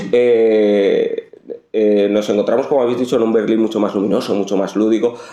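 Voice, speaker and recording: Against noticeable background noise, the voice moves at a moderate pace with flat, monotone intonation and very even loudness. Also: man, medium pitch for a man. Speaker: journalist interviewer. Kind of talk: interview.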